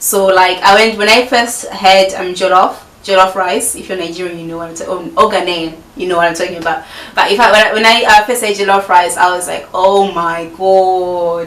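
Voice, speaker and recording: Loudness rises and falls sharply while intonation stays fairly even. Audible room echo and noticeable background noise fill the recording. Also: woman, medium pitch for a woman, fairly quick pace. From Zimbabwe, Harare. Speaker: YouTuber. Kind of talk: casual Q&A vlog. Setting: filming at home with friend present. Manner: chatty, many fillers.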